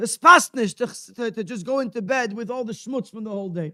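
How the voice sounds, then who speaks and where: At a moderate pace, a man speaks at an extremely high pitch with ordinary pitch variation on a very clean recording with a silent background. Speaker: rabbi. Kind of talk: religious talk at a gathering. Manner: halting with repetitions.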